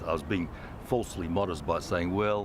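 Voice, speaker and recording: A man speaks in an Australian accent with ordinary pitch variation. Audible room echo surrounds his voice. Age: 60s. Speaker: former Olympic swimmer, aquatic centre director. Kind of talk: interview. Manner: hesitant, many fillers.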